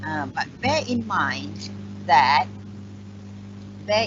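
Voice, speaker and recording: Over music in the background, the speaker moves at a very slow pace. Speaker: chemistry lecturer. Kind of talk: lecture.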